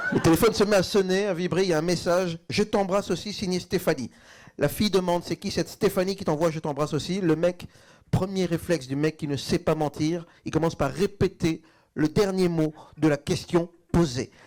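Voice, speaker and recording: Ordinary pitch variation at a fairly quick pace, in a very clean recording with a silent background. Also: man, high pitch for a man. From Belgium. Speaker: stand-up comedian. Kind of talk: live stand-up comedy set.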